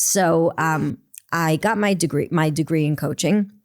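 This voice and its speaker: A woman talks at a fairly low pitch with ordinary pitch variation. The recording is very clean, with a silent background. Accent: New York. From New York. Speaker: performance coach. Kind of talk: podcast interview. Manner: fast; animated.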